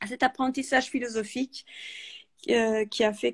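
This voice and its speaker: A woman is talking. The sound is dry and close, with no echo. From Italy. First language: Italian (speaking French). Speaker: author and freelance project manager. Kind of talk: interview. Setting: live video call. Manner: hesitant, many fillers.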